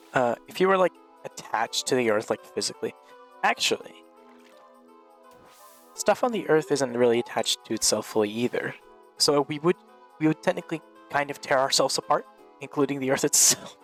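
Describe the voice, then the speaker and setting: Over music in the background, a man with a fairly high pitch talks at a fairly quick pace with lively intonation and long, frequent pauses, in a dry, close sound with no echo. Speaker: podcast host and gaming content creator. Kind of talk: casual banter in a comedic gaming podcast.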